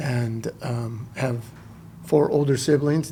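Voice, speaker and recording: Against noticeable background noise, a man with an American accent speaks with fairly even intonation. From Southern California, Orange County. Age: 60s. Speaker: homeless outreach supervisor. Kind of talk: interview chat.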